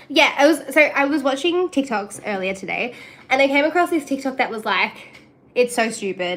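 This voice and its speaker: A woman's high, animated voice with lively intonation at a moderate pace, in a strong Australian accent. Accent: thick Australian. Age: 20s. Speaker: streamer. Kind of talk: casual chat.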